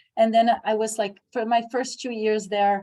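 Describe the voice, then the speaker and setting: Moderate pace in a Brazilian accent. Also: woman. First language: Portuguese. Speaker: English teacher and program coordinator. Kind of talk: conference presentation Q&A. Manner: halting, with many fillers.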